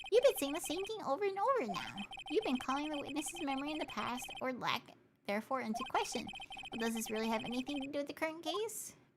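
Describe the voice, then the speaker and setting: The voice is a put-on character voice with a high pitch. It races along at a very fast pace. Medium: virtual streamer. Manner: formal.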